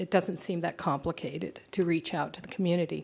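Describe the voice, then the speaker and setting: A woman has an ordinary speaking voice with an American accent. Her pitch is fairly low and her intonation fairly even. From Redondo Beach area, Southern California. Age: 60s. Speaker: resident speaking at public meeting. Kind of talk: public comment testimony. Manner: formal.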